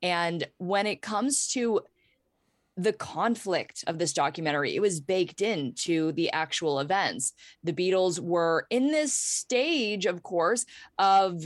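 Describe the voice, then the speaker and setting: Speaking with an American accent, a woman uses lively intonation at a very slow pace. Her loudness stays very even. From Pittsburgh, Pennsylvania, US. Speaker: YouTuber and former rock radio host. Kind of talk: casual chat. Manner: halting, many repeated words.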